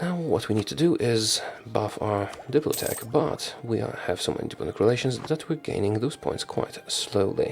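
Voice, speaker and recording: A soft-spoken voice at a moderate pace. Background noise is noticeable. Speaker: video game streamer. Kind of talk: gameplay commentary.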